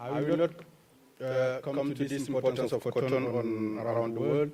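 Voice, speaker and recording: A man of medium pitch talks in a Cameroonian accent at a moderate pace, his intonation fairly even. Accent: French-speaking Cameroonian. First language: French. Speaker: agricultural researcher. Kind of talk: conference presentation. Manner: halting.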